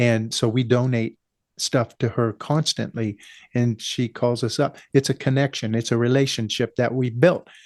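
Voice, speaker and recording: A man with an American accent has an ordinary speaking voice at medium pitch, with fairly even intonation and a moderate pace. The background is quiet, and the sound is dry and close with no echo. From US West, California. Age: 60s. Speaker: small business owner. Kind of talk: interview. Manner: casual, frequent fillers.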